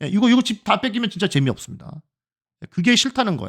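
A man with a high pitch talks at a very fast pace in an animated tone with lively intonation, in a dry, close sound with no echo. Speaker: Go (baduk) commentator. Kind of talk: live game commentary.

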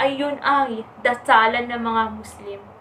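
Audible room echo surrounds a woman speaking slowly in a fairly bright tone.

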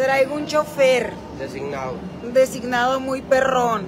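A woman speaks at a fairly slow pace in a high voice, with ordinary pitch variation and noticeable background noise. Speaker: influencer streaming live. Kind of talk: casual vlog chat. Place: hall. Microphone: phone near.

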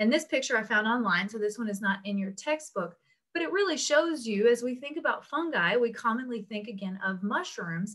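With little noise behind her, a woman speaks rather briskly. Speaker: instructor. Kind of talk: lecture. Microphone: webcam.

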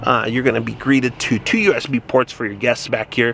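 The speech keeps a moderate pace. The sound is dry with no echo, with light background noise. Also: man. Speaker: vehicle reviewer. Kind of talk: casual walkaround commentary. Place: car. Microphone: phone near.

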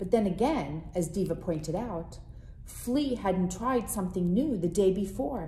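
An unforced reading voice is heard here.

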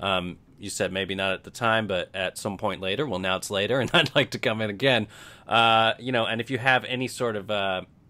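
A man with an unremarkable speaking voice, pitched fairly low. He talks at a fairly quick pace with ordinary pitch variation. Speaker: podcast host. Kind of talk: interview commentary. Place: home room. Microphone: studio mic.

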